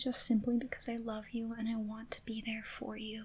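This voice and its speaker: A soft-spoken, gentle voice with a dark, mellow tone, monotone, flat intonation, and a fairly slow pace. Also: woman. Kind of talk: ASMR roleplay, comforting best friend. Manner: soft-spoken, gentle, caring.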